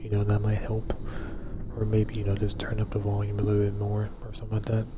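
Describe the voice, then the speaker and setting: The speech comes very fast, with noticeable noise in the background. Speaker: gaming streamer. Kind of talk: casual chat. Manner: quiet; halting. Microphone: voice too quiet under game audio.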